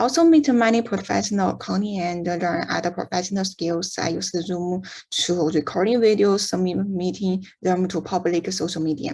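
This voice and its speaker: This woman has a medium pitch and a dark, mellow tone. Her voice is somewhat breathy. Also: ordinary pitch variation, moderate pace, hardly any pauses. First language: not English. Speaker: university student. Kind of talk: student presentation. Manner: halting.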